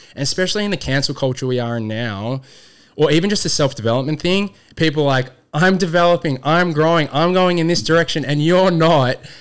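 A man with an Australian accent talks at a very fast pace in an animated tone. His voice is fairly high-pitched, with ordinary pitch variation. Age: 30s. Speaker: youth program founder. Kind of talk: casual chat.

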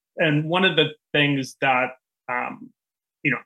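A man is speaking. His pace is moderate. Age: 60s. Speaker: naturopathic physician. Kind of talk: interview. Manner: halting.

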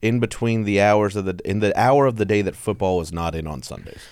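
Talking at a fairly quick pace, a man with an American accent uses lively intonation and a fairly low pitch. His is an unremarkable speaking voice, heard on a very clean recording with a silent background. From Texas. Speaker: stand-up comedian. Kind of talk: casual chat.

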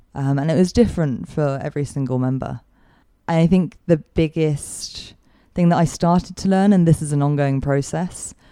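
With a London accent, a woman speaks at a moderate pace in a very deep, low voice with a dark, mellow tone and ordinary pitch variation. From London, England. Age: 30s. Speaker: guest sharing recovery story. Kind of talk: interview.

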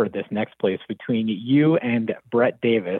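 This man has a plain, everyday voice with an American accent and a medium pitch. He talks at a fairly slow pace with fairly even intonation. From New Jersey. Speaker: caller. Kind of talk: casual chat. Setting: phone call.

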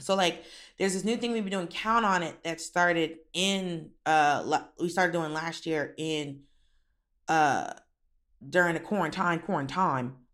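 An animated woman speaks at a fairly slow pace, fairly low in pitch with ordinary pitch variation. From Florida, Miami. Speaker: comedian and actor. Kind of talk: casual chat.

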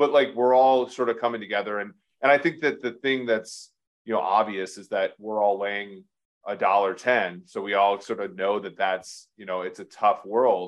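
A man with a normal speaking voice, fairly low in pitch, at a moderate pace, with ordinary pitch variation and big swings in loudness. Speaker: podcast host. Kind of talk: casual chat.

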